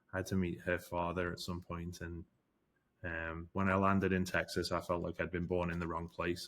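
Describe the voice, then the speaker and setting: With a British accent, a man with a very deep, low pitch speaks at a fairly quick pace in a monotone, flat intonation, recorded very cleanly over a silent background. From England/UK. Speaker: forensic investigator. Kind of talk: interview. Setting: studio. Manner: hesitant, many fillers.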